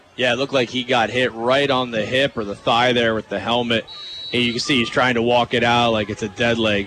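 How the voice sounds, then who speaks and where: A man speaks at a medium pitch in a monotone, flat intonation. Noticeable background noise sits behind him. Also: fairly quick pace. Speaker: color commentator. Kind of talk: live sports analysis. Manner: conversational, emphatic analysis.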